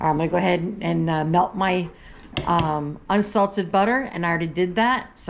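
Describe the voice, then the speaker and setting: A woman with a Southern US accent speaks very fast. Her pitch is fairly low and varies in an ordinary way. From US South. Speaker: cooking vlogger. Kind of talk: cooking tutorial.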